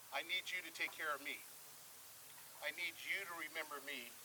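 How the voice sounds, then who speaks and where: The voice is monotone and flat over noticeable background noise. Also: man. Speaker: community speaker. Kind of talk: public speech. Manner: fast.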